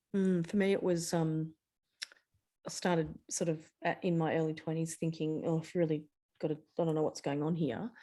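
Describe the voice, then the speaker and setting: With an Australian accent, a woman talks at a fairly quick pace in a fairly low, dark, mellow voice with fairly even intonation and long, frequent pauses. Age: 50s. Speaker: ADHD guest, digital marketer. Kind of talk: interview.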